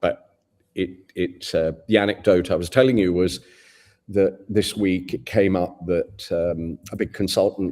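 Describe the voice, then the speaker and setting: With an English accent, a man speaks in a very deep, low pitch with ordinary pitch variation on a very clean recording with a silent background. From England. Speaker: advertising agency CEO. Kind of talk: interview.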